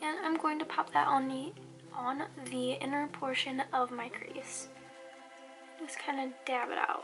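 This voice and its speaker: A woman with a high pitch and lively intonation, fairly slow with long, frequent pauses, over music in the background. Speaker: beauty youtuber. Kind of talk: tutorial.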